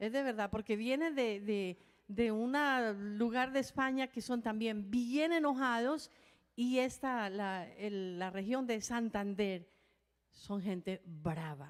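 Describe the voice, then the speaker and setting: Over a very clean recording with a silent background, a woman talks at a very slow pace, fairly high in pitch, with lively intonation. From Colombia. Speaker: pastor's wife, co-preacher. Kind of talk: sermon.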